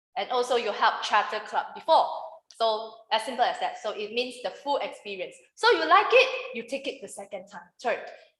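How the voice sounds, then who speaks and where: With audible room echo around her, a woman speaks in a high pitch at a moderate pace, her pitch swinging very widely. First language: Mandarin. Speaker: public speaking trainer. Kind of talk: workshop lecture. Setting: room with live audience, no microphone. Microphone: no microphone used.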